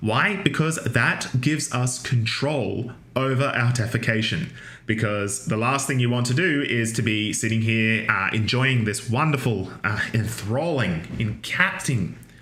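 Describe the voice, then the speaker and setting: Audible room echo and noticeable background noise surround a man speaking at a medium pitch. He talks at a fairly slow pace with very even loudness and ordinary pitch variation. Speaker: university lecturer. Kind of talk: lecture. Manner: casual, with many fillers.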